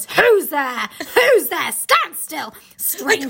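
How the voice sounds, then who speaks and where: This put-on character voice is high-pitched and growling. It moves at a very slow pace. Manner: threatening.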